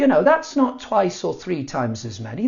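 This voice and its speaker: The speaker has a British accent and an animated tone. Pitch swings very widely. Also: man. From south eastern Spain. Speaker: Spanish teacher. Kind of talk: casual talk to camera. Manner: humorous, animated.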